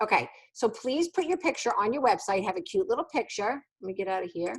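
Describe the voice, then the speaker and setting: Very fast, animated speech from a woman with a high pitch and very wide pitch swings. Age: 50s. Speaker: sales team leader. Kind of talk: training session.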